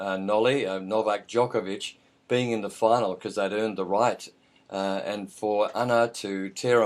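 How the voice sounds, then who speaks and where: Against a quiet background, a man speaks at a moderate pace in a fairly low pitch with monotone, flat intonation. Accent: Australian. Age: 50s. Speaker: radio host. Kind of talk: radio interview. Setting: radio studio, Skype call.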